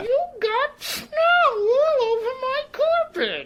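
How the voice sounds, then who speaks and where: This put-on character voice is squeaky and extremely high-pitched, and it moves at a very slow pace. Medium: audio drama. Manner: grouchy, gruff.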